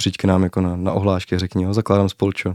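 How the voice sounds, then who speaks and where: A man with a very deep, low pitch and a dark, mellow tone talks fairly quickly in a flat monotone, recorded very cleanly with a silent background and a dry, close sound with no echo. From Moravia, Czech Republic (Zábřeh). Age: 20s. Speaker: university student. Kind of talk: interview.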